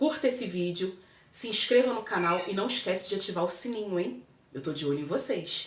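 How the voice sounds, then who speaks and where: Her pitch medium but with very wide swings, a woman speaks at a fairly quick pace amid audible room echo. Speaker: vlogger. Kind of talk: casual chat. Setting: home kitchen. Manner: loud.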